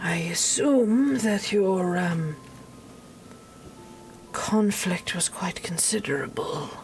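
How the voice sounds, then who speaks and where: Using a put-on character voice at medium pitch, a woman speaks at a very slow pace with long, frequent pauses over light background noise. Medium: actual play. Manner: formal, measured.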